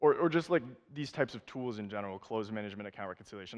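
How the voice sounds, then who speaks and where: Over a quiet background, a man with an American accent talks at a medium pitch. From United States. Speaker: software sales manager. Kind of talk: conference presentation. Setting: stage with audience.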